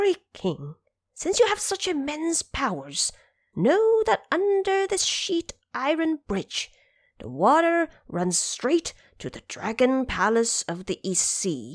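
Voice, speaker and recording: A woman puts on a character voice, pitched high and delivered fairly slowly. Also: very clean recording, silent background. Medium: audio drama. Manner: deferential, advising.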